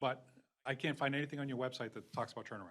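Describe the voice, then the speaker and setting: A man is speaking. His voice has a medium pitch. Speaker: superintendent candidate. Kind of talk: job interview. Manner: fast.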